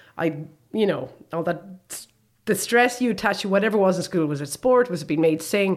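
Lively, varied intonation from a woman at a middle pitch, delivered at an average speed. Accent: Limerick. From Ireland, Limerick. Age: 40s. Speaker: podcast host. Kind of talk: casual chat.

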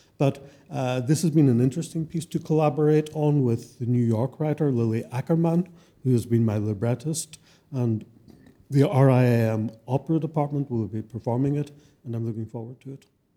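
A man's medium-pitched voice with a dark, mellow tone, ordinary pitch variation and a fairly quick pace. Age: 60s. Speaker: composer. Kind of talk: live interview. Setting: stage with audience.

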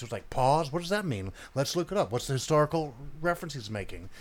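A man talks very fast in a fairly high voice, captured in a very clean recording with a silent background. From Memphis, Tennessee. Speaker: documentary filmmaker and music writer. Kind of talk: interview.

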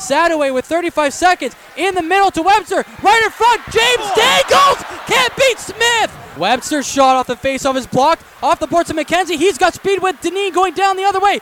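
Over noticeable background noise, a man talks at a moderate pace in an extremely high voice with lively intonation, the sound dry and close with no echo. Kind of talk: live commentary. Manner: punchy, rising goal calls with catchphrases.

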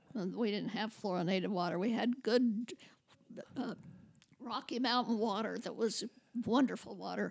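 At a moderate pace, a woman speaks in a fairly high pitch with vocal fry, ordinary pitch variation and long, frequent pauses. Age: 90s. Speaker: host's grandmother. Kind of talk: casual chat. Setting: studio.

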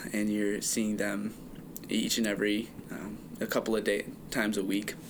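A man speaks in a gruff voice. His pace is fairly quick. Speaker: podcast host. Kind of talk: casual chat.

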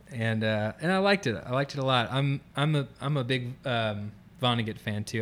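With an American accent, a man talks at a fairly quick pace with ordinary pitch variation, in an ordinary speaking voice. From Florida, near Orlando. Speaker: musician in residence. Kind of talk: interview.

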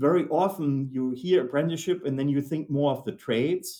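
Speaking with a German accent, a man uses a dark, mellow tone at a fairly high pitch, with ordinary pitch variation and a moderate pace. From Germany. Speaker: manufacturing executive. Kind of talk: interview.

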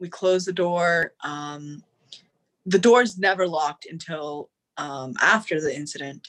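A woman's normal speaking voice, fairly low, with ordinary pitch variation and big swings in loudness. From Florida, US (born in Sri Lanka). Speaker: podcast guest. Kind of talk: casual interview.

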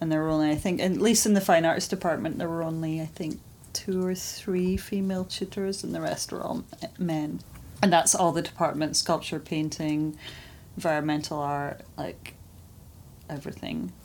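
A woman's unremarkable speaking voice, fairly low in pitch, with fairly even intonation at a moderate pace. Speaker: artist. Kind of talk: interview. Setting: her studio.

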